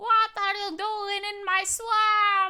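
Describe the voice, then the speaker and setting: Using a put-on character voice, a woman speaks at an extremely high pitch with monotone, flat intonation. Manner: gruff.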